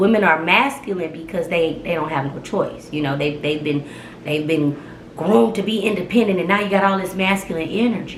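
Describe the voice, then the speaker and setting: There is audible room echo and noticeable background noise as a woman speaks with ordinary pitch variation. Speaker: vlogger. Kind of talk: casual storytelling vlog. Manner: loud; animated.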